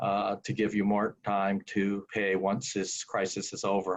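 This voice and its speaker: This man has an ordinary speaking voice, pitched fairly low and delivered at a fairly slow pace. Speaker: employment lawyer. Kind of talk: webinar presentation.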